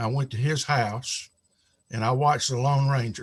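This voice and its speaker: A somewhat breathy man with an American accent. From US South, South Carolina (Spartanburg). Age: 70s. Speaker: retired pastor and author. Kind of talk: interview storytelling.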